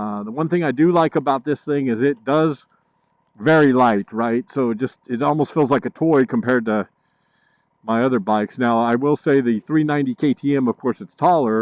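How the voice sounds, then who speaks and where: A man with an ordinary speaking voice talks at a fairly quick pace at medium pitch, with ordinary pitch variation and a dry, close sound with no echo. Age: 60s. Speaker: motorcycle vlogger. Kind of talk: casual review while riding.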